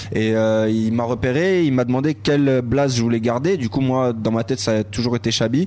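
Amid noticeable background noise, a man speaks at medium pitch with very even loudness. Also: ordinary pitch variation, hardly any pauses. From Paris, 13th arrondissement. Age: 20s. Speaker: rapper. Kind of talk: casual interview. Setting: bar smoking room.

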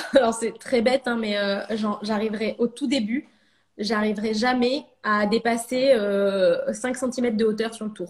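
The speaker sounds somewhat breathy, moving at a fairly slow pace with fairly even intonation. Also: woman, fairly high pitch for a woman. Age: 30s. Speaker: ceramicist. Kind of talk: casual interview. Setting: live video stream.

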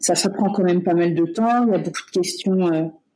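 A dark, mellow tone with ordinary pitch variation, delivered at a fairly slow pace. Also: woman. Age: 30s. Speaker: medical-psychological care assistant. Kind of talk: personal testimony interview. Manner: hesitant, many fillers.

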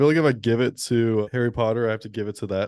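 A man with a dark, mellow tone at a very fast pace, with ordinary pitch variation. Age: 20s. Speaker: podcast co-host. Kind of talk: casual chat. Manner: halting.

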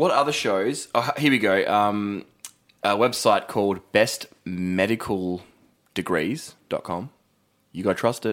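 A man speaks with an Australian accent at a fairly slow pace. His pitch is fairly low, with ordinary variation. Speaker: podcast co-host. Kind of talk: casual chat. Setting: studio.

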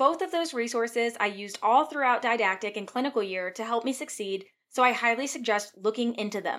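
Speaking at a fairly quick pace with hardly any pauses, a woman with an American accent uses a normal speaking voice, a fairly high pitch, and ordinary pitch variation. The recording is very clean, with a silent background. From Virginia. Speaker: physician assistant and podcast host. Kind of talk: scripted monologue.

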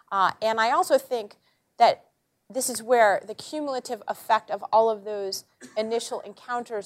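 In a plain, everyday voice, a woman speaks at a fairly high pitch with ordinary pitch variation, recorded very cleanly against a silent background with a dry, close sound and no echo. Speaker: journalist and columnist. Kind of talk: panel talk. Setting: auditorium with live audience. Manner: humorous, conversational.

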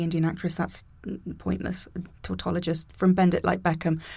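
At a fairly quick pace, a woman speaks in a somewhat breathy voice with a dark, mellow tone. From England, Birmingham area. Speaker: comedian and dialect coach. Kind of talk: casual chat. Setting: studio.

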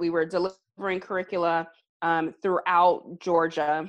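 A woman with an American accent talks at a fairly slow pace in an unremarkable speaking voice, her fairly low pitch held in fairly even intonation. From US South, Alabama. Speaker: reproductive health policy advocate and consultant. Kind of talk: casual interview.

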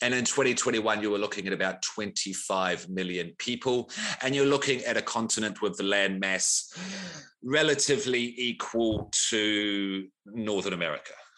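A moderate pace amid noticeable background noise. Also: man, fairly low pitch for a man, ordinary pitch variation. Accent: New Zealand. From New Zealand. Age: 40s. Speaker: podcast host. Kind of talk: casual chat.

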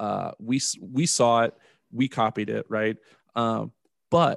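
With an ordinary speaking voice, a man talks at a medium pitch and with fairly even intonation, the sound dry and close with no echo over a quiet background. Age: 30s. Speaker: podcast host, father. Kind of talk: casual interview.

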